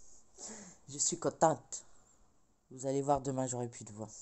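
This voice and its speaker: A woman's pitch sits very deep and low. She talks at a very slow pace. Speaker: crafting vlogger. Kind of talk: casual vlog chat. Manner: soft-spoken; hesitant, many fillers.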